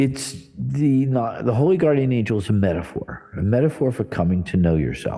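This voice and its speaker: A man speaks in a plain, everyday voice at a medium pitch and a moderate pace, with lively intonation, very even loudness and hardly any pauses. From New Jersey, US. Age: 60s. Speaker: church director and spiritual teacher. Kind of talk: interview conversation. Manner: casual, conversational with fillers.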